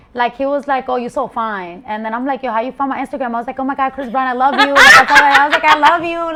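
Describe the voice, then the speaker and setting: Over noticeable background noise, a woman with an American accent talks at a very fast pace in a raised, projected voice and a high pitch. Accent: Spanish Bronx. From Bronx, New York. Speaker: rapper, content creator. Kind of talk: interview answer. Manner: bold, unfiltered.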